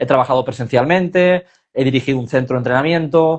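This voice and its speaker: At a fairly quick pace, a man speaks with a medium pitch. His pitch variation is ordinary. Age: 30s. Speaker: personal trainer for back pain. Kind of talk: casual interview on livestream. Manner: hesitant, with fillers.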